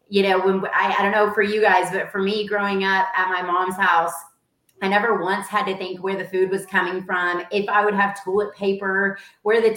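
With a Texan accent, a woman talks at a moderate pace and medium pitch in a monotone, flat delivery. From Dallas-Fort Worth, Texas. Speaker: real estate agency owner, nonprofit founder. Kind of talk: casual interview.

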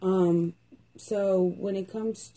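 A woman's somewhat breathy voice at a medium pitch, dark and mellow in tone, with fairly even intonation. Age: 20s. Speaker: podcast host. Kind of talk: casual chat.

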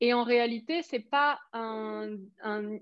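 Her pitch is high. The woman's intonation stays fairly even. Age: 20s. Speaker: business coach. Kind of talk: casual chat.

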